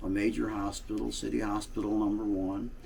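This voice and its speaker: Amid noticeable background noise and audible room echo, a man with a St. Louis accent speaks at a moderate pace. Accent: Midwestern American (St. Louis). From US Midwest, St. Louis, Missouri. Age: 80s+. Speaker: political blogger, Navy veteran. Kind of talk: casual monologue, reminiscing. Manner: halting, many fillers.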